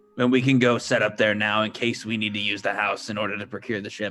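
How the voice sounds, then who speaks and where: In a put-on character voice, a man rattles off words at a very fast pace, raspy and fairly low, his intonation monotone and flat. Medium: actual play. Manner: formal, stiff, measured.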